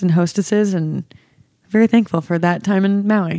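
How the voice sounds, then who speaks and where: A woman with an American accent has a dark, mellow tone and fairly even intonation. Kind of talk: casual chat.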